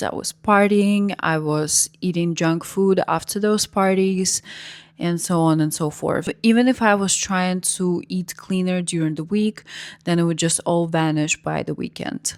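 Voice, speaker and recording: In a Russian accent, a woman speaks at a fairly slow pace with fairly low pitch and fairly even intonation, on a very clean recording with a silent background. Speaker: vlogger. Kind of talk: personal story vlog.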